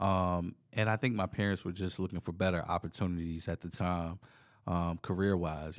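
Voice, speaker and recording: On a very clean recording with a silent background, a man with an American accent talks at a moderate pace in a very deep, low voice. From US South, southern Virginia (South Boston). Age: 30s. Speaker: DJ and music producer. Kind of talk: casual chat. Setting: recorded at a venue, in person.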